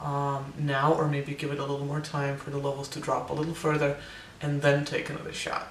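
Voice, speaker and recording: There is audible room echo and noticeable background noise as a man talks at a fairly quick pace. His pitch is fairly high and his intonation is monotone and flat. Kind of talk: personal vlog update. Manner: hesitant, many fillers.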